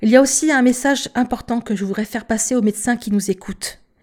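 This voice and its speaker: A dark, mellow tone defines the voice. There is some breathiness to it. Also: woman, very clean recording, silent background. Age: 50s. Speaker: patient advocate. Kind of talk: testimony. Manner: halting.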